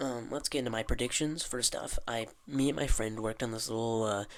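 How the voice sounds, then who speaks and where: On a very clean recording with a silent background, a man talks at a fairly quick pace in a medium pitch with a bright, sharp tone. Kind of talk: casual talk to camera. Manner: rambling, unedited.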